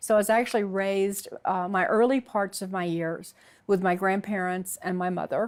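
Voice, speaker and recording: A woman with a Southern US accent talks at a moderate pace and fairly even intonation in a very clean recording with a silent background. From US South, Alabama. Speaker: convert sharing her story. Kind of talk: testimony. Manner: halting.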